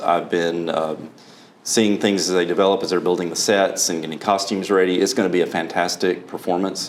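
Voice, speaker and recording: A man talks at a very deep, low pitch. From Alabama. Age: 50s. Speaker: college fine arts director. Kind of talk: interview.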